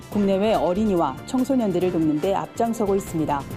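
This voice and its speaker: A woman at a fairly quick pace, with very wide pitch swings and music in the background. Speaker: news presenter. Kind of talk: TV news briefing.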